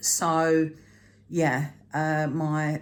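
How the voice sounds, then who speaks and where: A woman with a British accent speaks at a very deep, low pitch. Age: 60s. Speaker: frugal living vlogger. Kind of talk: casual vlog talk to camera. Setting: home, at a table, evening. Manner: conversational with frequent fillers.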